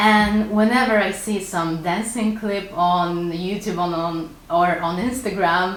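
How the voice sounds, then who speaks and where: With a Polish accent, a woman of medium pitch talks at a fairly slow pace with hardly any pauses and fairly even intonation, amid noticeable background noise and audible room echo. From Poland. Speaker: artist and illustrator YouTuber. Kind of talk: casual Q&A video. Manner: casual with frequent hesitations.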